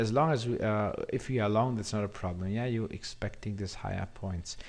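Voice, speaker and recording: This is a man speaking. His pitch is fairly low. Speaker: forex trading educator. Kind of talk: market analysis tutorial. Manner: hesitant, many fillers.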